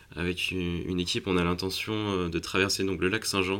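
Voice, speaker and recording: Very deep and low, a man's voice stays monotone and flat. The recording is very clean, with a silent background. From France. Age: 20s. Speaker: young filmmaker and adventurer. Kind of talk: interview. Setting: cinema at a film festival. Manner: halting, many hesitations and repetitions.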